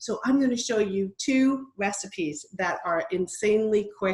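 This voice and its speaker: Somewhat breathy, a woman's medium-pitched voice moves at a moderate pace with ordinary pitch variation. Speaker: kitchen products consultant. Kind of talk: live cooking demo. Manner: casual, chatty.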